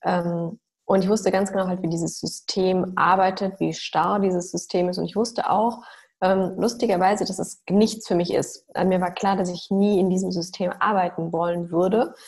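At a moderate pace, a woman speaks in a medium pitch, somewhat breathy, with monotone, flat intonation. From Germany, Mülheim an der Ruhr near Düsseldorf. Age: 30s. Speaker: doctor specializing in nutrition. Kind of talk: interview.

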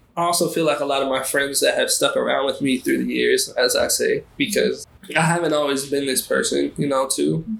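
A man's American accent at very even loudness, over noticeable background noise. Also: fairly quick pace. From US, Baltimore, Maryland. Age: 20s. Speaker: artist and curator. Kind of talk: casual interview chat. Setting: podcast interview.

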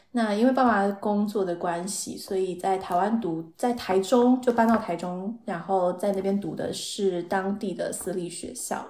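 A woman with an unremarkable speaking voice keeps a medium pitch and fairly even intonation, talking at a fairly slow pace. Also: hardly any pauses. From Taiwan. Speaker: marketing professional. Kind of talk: casual interview chat.

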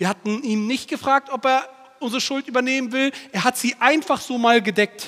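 A man speaks in a bright, sharp tone at a moderate pace. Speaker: preacher. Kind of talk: sermon. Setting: church. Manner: animated, direct, emphatic; repeats key phrases for emphasis.

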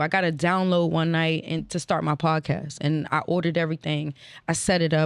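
A woman speaks with an American accent in a normal speaking voice. Her intonation is fairly even, and the recording is very clean with a silent background. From Northern Virginia (Alexandria), DC area. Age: 30s. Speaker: podcast host and former radio intern. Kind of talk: casual interview chat. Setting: studio with live crew and audience.

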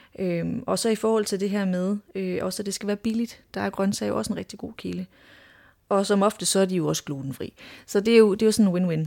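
A woman speaks at a fairly quick pace with a dark, mellow tone and medium pitch. Her intonation is fairly even, and the recording is very clean with a silent background. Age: 30s. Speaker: clinical dietitian. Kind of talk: casual interview. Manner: hesitant, many filler words.

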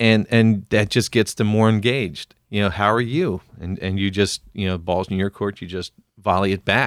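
In an American accent, a normal speaking voice talks at a moderate pace with fairly even intonation in a dry, close sound with no echo. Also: man, fairly low pitch for a man. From US Northeast, Philadelphia. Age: 40s. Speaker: podcast co-host. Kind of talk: casual chat.

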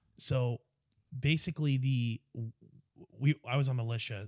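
Recorded with a dry, close sound and no echo, a man with a New York accent speaks at a moderate pace. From US Northeast (Long Island, New York). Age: 30s. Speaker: airsoft player. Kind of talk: casual chat. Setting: studio. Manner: loud; animated.

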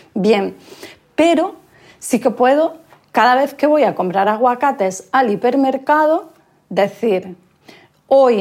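Very slow, lively speech from a woman with a high pitch. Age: 50s. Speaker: author and gender equality consultant. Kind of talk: interview.

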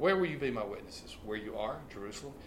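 Very fast speech from a man, noticeable background noise and audible room echo around it. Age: 60s. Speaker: pastor and author. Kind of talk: casual interview.

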